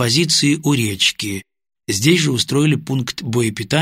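The clip is plain reading aloud over a quiet background.

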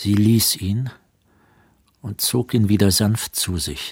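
A man speaks slowly with a fairly low pitch, ordinary pitch variation and a slightly husky edge. The recording is very clean, with a silent background.

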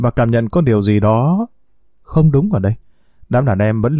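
Someone reads aloud in a natural voice. The intonation stays lively.

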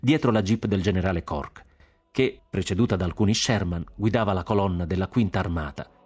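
Someone is reading aloud in a natural voice. The text is read aloud.

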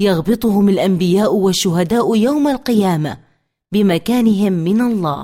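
Quiet surroundings, an unforced reading voice, and ordinary pitch variation.

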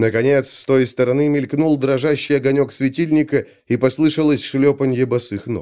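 A natural voice reading aloud, intonation fairly even

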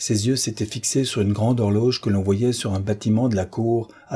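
Fairly even intonation in a natural reading voice

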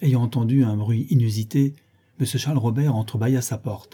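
The reading is plain and aloud, its intonation kept fairly even.

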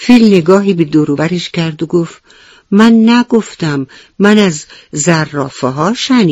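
The clip has a natural reading voice. It is a natural reading voice throughout.

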